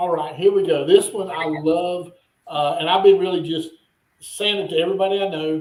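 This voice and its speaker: A man with a Southern US accent talks at a moderate pace in a high, monotone voice with flat intonation. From North Carolina. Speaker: business owner. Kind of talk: interview.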